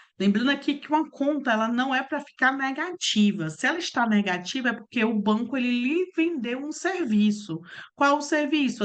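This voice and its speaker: A woman talks with lively intonation at a moderate pace. She barely pauses. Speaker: accounting instructor. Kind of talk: online class. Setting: online video class.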